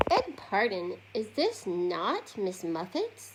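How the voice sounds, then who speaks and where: A female-sounding, medium-pitched put-on character voice speaks at a very slow pace. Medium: read story.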